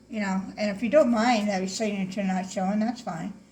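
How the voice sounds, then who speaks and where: Fairly quick speech with fairly even intonation, audible room echo and noticeable background noise. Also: woman. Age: 60s. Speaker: painting instructor. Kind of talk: tutorial. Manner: casual, chatty.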